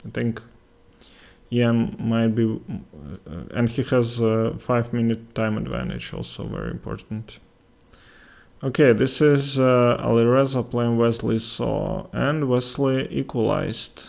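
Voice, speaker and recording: In a Latvian accent, a man of medium pitch speaks at a fairly slow pace. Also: ordinary pitch variation. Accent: Russian-speaking Latvian accent in English. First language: Russian. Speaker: chess streamer and commentator. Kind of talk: live game commentary with chat. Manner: halting, many fillers.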